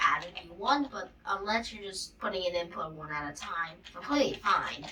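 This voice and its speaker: Noticeable background noise fills the clip. Through it, a woman talks at a moderate pace with very wide swings in pitch. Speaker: coding tutorial youtuber. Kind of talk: tutorial. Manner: casual, filler-heavy.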